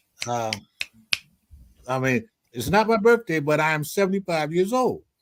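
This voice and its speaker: Speaking at a moderate pace, a man with an American accent has a fairly high pitch and very wide pitch swings. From Philadelphia. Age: 70s. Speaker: former prisoner and panelist. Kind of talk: panel discussion.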